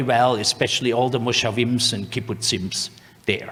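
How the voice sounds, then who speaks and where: A man with a German accent at medium pitch and ordinary pitch variation, amid noticeable background noise and audible room echo. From Germany, Swabia (near Stuttgart). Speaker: veterinary scientist, lecturer. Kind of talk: lecture. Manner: halting, with many fillers.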